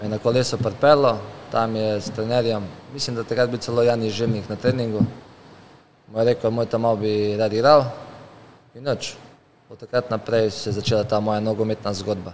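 A man speaks in a monotone with flat intonation at a medium pitch. Light background noise sits behind him. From Slovenia. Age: 30s. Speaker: professional footballer; guest. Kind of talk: casual interview chat. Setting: car showroom. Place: shop. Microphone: studio mic.

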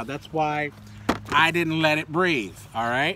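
There is light background noise as a man speaks in a dry sound with no echo. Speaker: toy collector vlogger. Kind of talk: casual vlog chat. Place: garden. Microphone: phone near.

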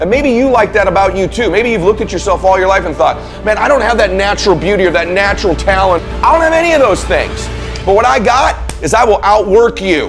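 With music in the background, a man talks with lively intonation. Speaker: motivational speaker. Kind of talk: motivational speech.

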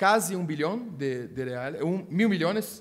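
A man speaks at a very slow pace with lively intonation. The background is quiet. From Brazil. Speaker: prosecutor; speaker. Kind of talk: conference talk. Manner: halting. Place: meeting room. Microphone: podium.

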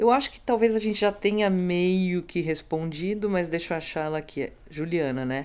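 In an unremarkable speaking voice, a woman talks at a moderate pace and fairly low pitch with lively intonation, big swings in loudness and hardly any pauses. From Brazil. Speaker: music show host; podcast host. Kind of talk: casual interview. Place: studio. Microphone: studio mic.

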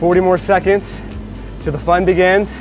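A man is speaking with clear music in the background. The sound is dry, with no echo. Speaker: fitness coach. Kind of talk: workout instruction. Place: gym.

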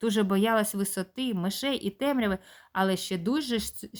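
The speaker reads aloud naturally, pitch moving in an ordinary way.

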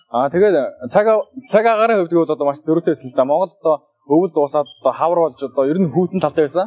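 A man's fairly high voice at a very fast pace, dark and mellow in tone, with ordinary pitch variation, very even loudness and a quiet background. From Mongolia. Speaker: exchange student. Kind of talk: testimony. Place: open country. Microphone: handheld.

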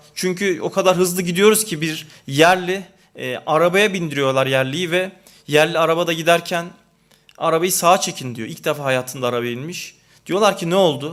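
Pitch moves in an ordinary way. Speech proceeds at a moderate pace. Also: man, high pitch for a man. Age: 30s. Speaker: panel speaker. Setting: panel event. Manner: halting.

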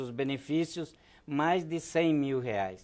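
Against a quiet background, a man talks at a fairly high pitch. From Rio Grande do Sul, Brazil. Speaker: political candidate, trade unionist; candidate. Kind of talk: TV interview. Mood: earnest political argument. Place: studio. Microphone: lapel.

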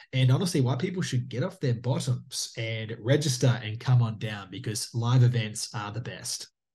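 Somewhat breathy speech moves at a moderate pace with ordinary pitch variation and hardly any pauses. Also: man. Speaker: guest. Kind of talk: interview answer. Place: home room. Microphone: video call.

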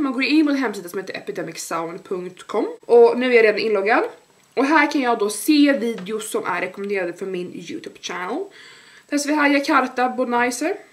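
In a high pitch, a woman's voice makes very wide pitch swings. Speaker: YouTuber and student entrepreneur. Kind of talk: vlog. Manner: casual, many fillers. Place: home room. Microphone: camera far.

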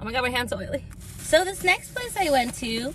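A woman talks at a moderate pace, and the sound is dry with no echo. Noticeable background noise runs underneath. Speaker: food vlogger. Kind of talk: casual vlog chat. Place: car. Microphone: phone near.

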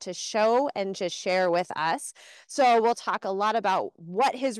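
Against a quiet background, a woman speaks with lively intonation in a dry sound with no echo. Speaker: education program host. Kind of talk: live virtual class hosting. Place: open country.

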